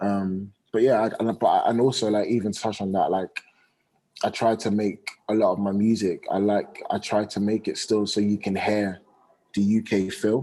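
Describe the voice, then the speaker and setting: The voice has a British accent and a dark, mellow tone. Its intonation is monotone and flat, at a moderate pace. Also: man. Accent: British accent, put on heavy in songs. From UK. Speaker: R&B singer. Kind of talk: radio interview.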